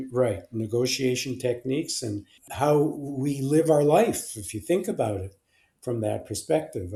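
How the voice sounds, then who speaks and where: Speaking at a very slow pace, a man with a dark, mellow tone sounds somewhat breathy, and his intonation is lively. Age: 80s+. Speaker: clinical and forensic psychologist. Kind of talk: interview answer. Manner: hesitant, many fillers.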